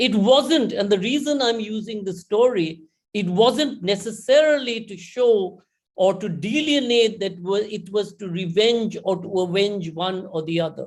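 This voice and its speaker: In a Bengali accent, a high-pitched man speaks fairly slowly with ordinary pitch variation and big swings in loudness. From India. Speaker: conference speaker. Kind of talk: conference talk. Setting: online conference.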